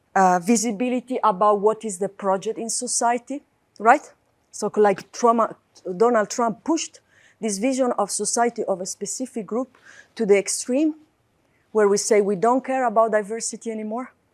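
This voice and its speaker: A woman speaks in a plain, everyday voice with a fairly high pitch. Her pace is moderate, her intonation fairly even, and the sound dry and close with no echo. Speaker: academic lecturer. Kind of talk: lecture.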